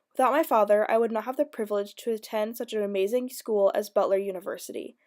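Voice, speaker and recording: A woman speaks very fast with an American accent. Her pitch is fairly high. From US Midwest, Indiana. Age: 20s. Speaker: college student. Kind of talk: reading aloud. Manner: formal.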